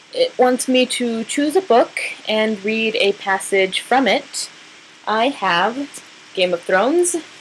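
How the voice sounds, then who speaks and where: With an American accent, a woman speaks very slowly at a fairly high pitch and with lively intonation, against noticeable background noise. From New Mexico. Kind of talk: casual talk to camera.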